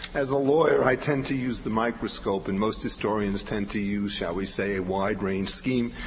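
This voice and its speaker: Over noticeable background noise, a man speaks with a fairly low pitch. His pace is moderate and his pitch variation ordinary. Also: hardly any pauses. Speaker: legal historian. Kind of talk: academic conference talk.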